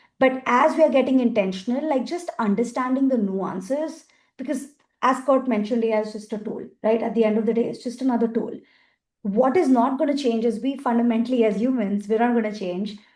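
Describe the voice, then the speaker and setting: With an Indian accent, a woman speaks at a high pitch and a fairly quick pace. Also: ordinary pitch variation. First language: Hindi. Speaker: accessibility industry expert, panelist. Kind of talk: panel discussion. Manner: animated.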